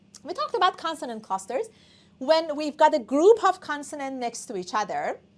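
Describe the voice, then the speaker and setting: Speaking at a moderate pace in a Persian accent, a woman uses a high pitch with very wide pitch swings. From Iran. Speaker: English teacher. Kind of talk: online class lecture.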